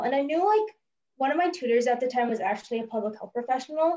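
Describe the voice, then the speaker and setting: A loud woman's high-pitched voice with an American accent, lively intonation and a very fast pace. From San Francisco Bay Area, US. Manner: loud, energetic.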